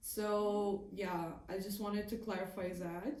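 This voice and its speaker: A woman with a non-native accent speaks very slowly at a medium pitch, her intonation fairly even, with audible room echo. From a war-affected country. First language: not English. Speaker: video commentator. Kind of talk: casual commentary monologue.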